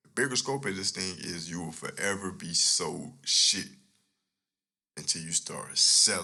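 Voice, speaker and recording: A man speaks quietly in a fairly low pitch. His intonation is lively and his tone bright and sharp. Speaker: podcast host. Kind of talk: casual monologue. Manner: low, quiet delivery; animated.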